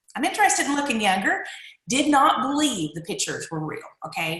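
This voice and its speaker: With an eastern Kentucky accent, a woman's voice makes very wide pitch swings amid audible room echo. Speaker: direct sales distributor. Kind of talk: personal testimony.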